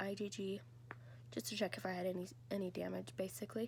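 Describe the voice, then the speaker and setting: Here a woman speaks in a somewhat breathy voice. Her pace is moderate. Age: 20s. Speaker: vlogger sharing health story. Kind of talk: personal testimony. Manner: casual, hesitant.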